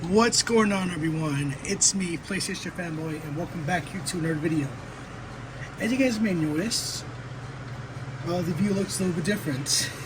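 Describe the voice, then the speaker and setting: A man talks in a high pitch at a moderate pace with ordinary pitch variation and long, frequent pauses. Audible room echo and noticeable background noise surround him. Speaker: gaming YouTuber. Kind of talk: casual product comparison vlog. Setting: at home. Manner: quieter than usual; hesitant, many fillers.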